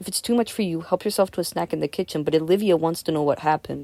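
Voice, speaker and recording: A very fast, raspy, put-on character voice at a middle pitch. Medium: read story. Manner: deliberate.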